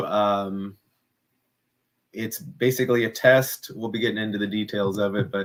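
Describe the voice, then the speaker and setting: A plain, everyday voice belonging to a man, moderate in pace, with ordinary pitch variation. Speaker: compost and worm farming educator. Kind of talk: live stream tutorial. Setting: live stream.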